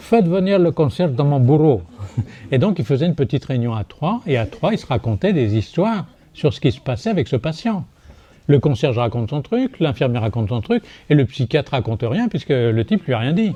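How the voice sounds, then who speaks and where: Fairly quick, somewhat breathy speech from a man with a dark, mellow tone, fairly high pitch, and very wide pitch swings. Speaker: psychiatrist. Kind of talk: lecture. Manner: animated; hesitant.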